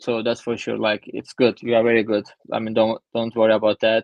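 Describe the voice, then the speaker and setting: A man is speaking. He has a Turkish accent. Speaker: traveler. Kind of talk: interview. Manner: halting.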